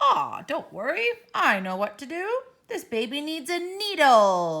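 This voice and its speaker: Using a put-on character voice, a woman speaks fairly slowly at a high pitch with very wide pitch swings. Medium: read story.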